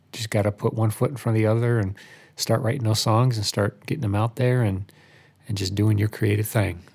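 A man's fairly low, somewhat breathy voice at a fairly quick pace, with fairly even intonation. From Albany, New York, US. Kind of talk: casual chat.

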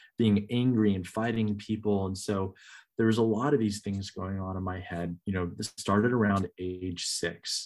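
With an American accent and a normal speaking voice, a man talks at a moderate pace in a fairly low pitch with fairly even intonation, on a very clean recording with a silent background. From Northern California. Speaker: minister. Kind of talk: testimony.

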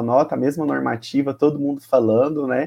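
His tone is dark and mellow. The man talks at a moderate pace. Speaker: teacher and HIV youth activist. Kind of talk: casual chat.

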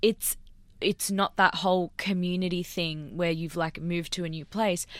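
In an Australian accent, a woman with a fairly low pitch speaks fairly slowly on a very clean recording with a silent background. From Australia, Sydney. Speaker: scientist. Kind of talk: casual chat. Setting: studio.

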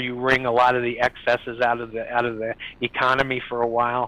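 Flat and monotone in intonation, a man speaks with a dry, close sound with no echo, though noticeable background noise can be heard. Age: old. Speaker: financial adviser panelist. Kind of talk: live panel discussion. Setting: video call.

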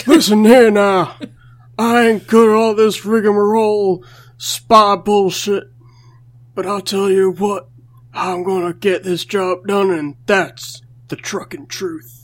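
This is a put-on character voice with fairly high pitch. It moves at a fairly slow pace. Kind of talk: comic wrestler-style bravado. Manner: gruff, boastful drawl.

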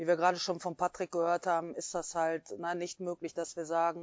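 A woman with a fairly low voice speaks at a moderate pace. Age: 40s. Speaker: sports club board member and football coach. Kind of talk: interview. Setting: video recording.

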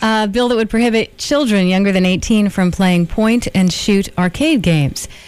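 Delivery runs at a moderate pace with hardly any pauses. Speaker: radio co-host. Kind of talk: casual banter.

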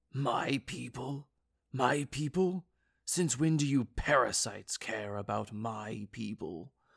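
Someone speaks in a put-on character voice at a fairly slow pace, with a low-to-middle pitch and a hissing quality, on a very clean recording with a silent background. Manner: hissing, angry.

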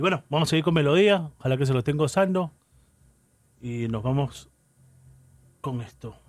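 A man with a fairly high pitch and ordinary pitch variation, an animated, warm tone, a moderate pace and long, frequent pauses. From Callao, Peru. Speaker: radio host playing salsa. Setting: radio studio broadcast. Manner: casual and conversational, with laughs, asides and unscripted pauses.

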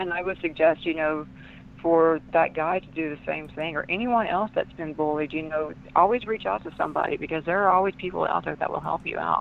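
In a Southern US accent, a woman speaks at a fairly low pitch with ordinary pitch variation. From US South. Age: 40s. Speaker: author and empath. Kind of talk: interview.

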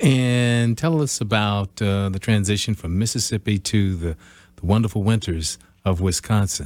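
A man's unremarkable speaking voice with an American accent, at a moderate pace, fairly low in pitch and with ordinary pitch variation. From US Midwest. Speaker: radio host. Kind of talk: radio interview. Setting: radio studio.

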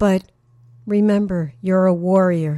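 Speaking at a very slow pace, a woman has a dark, mellow tone that also comes across warm and upbeat. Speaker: radio host. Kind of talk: radio DJ patter introducing songs, bilingual. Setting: radio show. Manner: warm, upbeat, conversational; personal, motivational.

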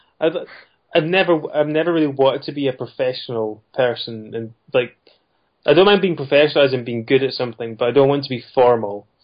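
The speaker talks at a fairly quick pace in a Scottish accent, with ordinary pitch variation. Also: man, medium pitch for a man. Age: 30s. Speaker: indie game developer. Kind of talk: interview.

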